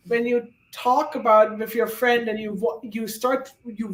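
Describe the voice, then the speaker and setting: This woman has a strong German accent and a fairly high pitch. She talks at a fairly slow pace. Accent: thick German. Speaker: guest on reading livestream. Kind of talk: casual chat.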